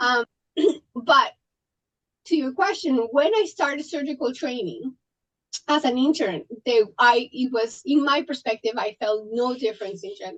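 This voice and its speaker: Lively intonation in a Colombian accent, with long, frequent pauses and a dry, close sound with no echo. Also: woman, high pitch for a woman, moderate pace. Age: 40s. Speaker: trauma surgeon. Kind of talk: podcast interview. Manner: animated, intense.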